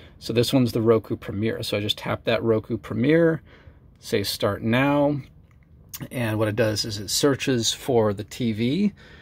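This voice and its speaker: The man's pace is moderate, and his pitch moves with ordinary variation. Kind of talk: tutorial. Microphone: phone near.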